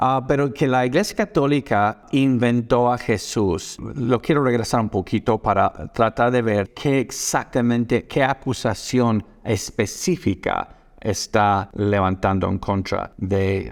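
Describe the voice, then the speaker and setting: On a very clean recording with a silent background, a man with a non-native accent speaks at a very slow pace and medium pitch. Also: ordinary pitch variation, very even loudness. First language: not Spanish (speaking Spanish). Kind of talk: video reaction commentary. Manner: halting, many fillers.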